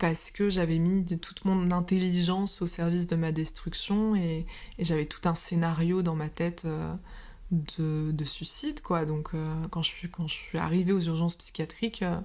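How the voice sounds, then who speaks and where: The speaker is a woman with a fairly slow pace. Her intonation is monotone and flat. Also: fairly low pitch for a woman. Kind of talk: interview answer.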